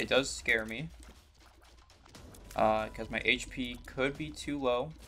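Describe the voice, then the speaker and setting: Over music in the background, a man at medium pitch speaks very slowly with ordinary pitch variation. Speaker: gaming YouTuber. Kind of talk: gameplay commentary. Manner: casual, with fillers and hesitations.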